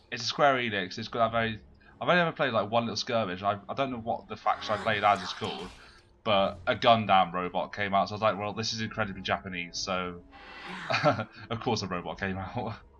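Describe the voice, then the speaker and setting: A man with a British accent and a fairly low pitch talks at a very fast pace with music in the background. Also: ordinary pitch variation. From Britain. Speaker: gaming channel host. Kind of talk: casual gaming chat.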